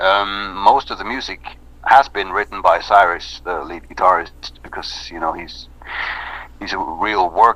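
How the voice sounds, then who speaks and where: A man speaks fairly slowly with a Norwegian accent. His pitch is fairly low and his intonation fairly even. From Norway. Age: 30s. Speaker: metal band singer. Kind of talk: interview. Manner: halting.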